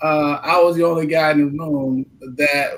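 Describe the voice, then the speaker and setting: A man with a fairly high pitch and a normal speaking voice talks at a fairly slow pace with fairly even intonation. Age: 60s. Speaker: insurance agent, husband of guest. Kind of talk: talk show panel discussion. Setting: live stream.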